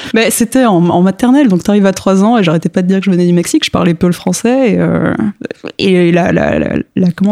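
Talking at a very fast pace, a woman with a medium pitch and ordinary pitch variation is heard over noticeable background noise. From France (grew up there from age 3; born in Mexico). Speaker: comic book author. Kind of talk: casual interview.

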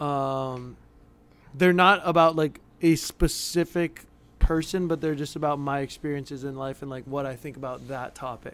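With an unremarkable speaking voice, a man talks at a moderate pace and fairly high pitch, with fairly even intonation and big swings in loudness. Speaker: pro athlete and musician. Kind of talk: casual chat.

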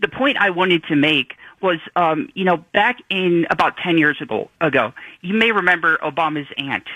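Moderate pace and ordinary pitch variation. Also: man. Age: 20s. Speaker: caller. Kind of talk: call-in. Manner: halting.

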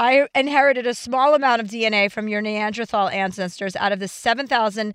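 A woman at medium pitch with a slight New Jersey accent, a fairly quick pace and ordinary pitch variation, against a quiet background. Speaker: comedian and podcast co-host. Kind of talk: casual chat.

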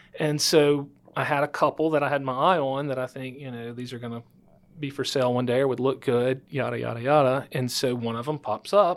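A fairly quick delivery in a Louisiana accent with fairly even intonation, on a very clean recording with a silent background. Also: man, medium pitch for a man. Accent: Louisiana Southern US. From northwest Louisiana. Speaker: title attorney and podcast host. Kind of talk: interview. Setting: studio.

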